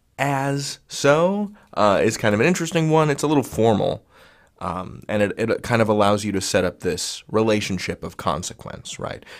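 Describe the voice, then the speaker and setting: Speaking at a moderate pace, a man with a Midwestern American accent uses very wide pitch swings. The recording is very clean, with a silent background. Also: medium pitch for a man. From US Midwest. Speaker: online grammar teacher. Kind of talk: tutorial. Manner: casual, playful.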